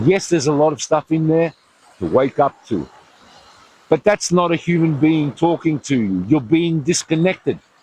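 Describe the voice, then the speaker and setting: Over noticeable background noise, a man speaks at a moderate pace with a fairly high pitch and lively intonation, the sound dry and close with no echo. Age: 60s. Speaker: self-help video speaker. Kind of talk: motivational monologue. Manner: animated; halting.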